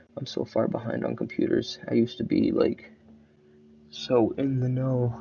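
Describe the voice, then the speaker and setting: A man talking at a moderate pace, with noticeable background noise. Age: 20s. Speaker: show reviewer. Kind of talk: casual review monologue. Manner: halting, with frequent fillers.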